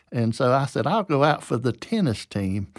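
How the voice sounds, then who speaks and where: In a very clean recording with a silent background, a man speaks at a moderate pace with a Southern US accent. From US South, Georgia. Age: 70s. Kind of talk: interview, personal storytelling. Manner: informal, halting with repeated words.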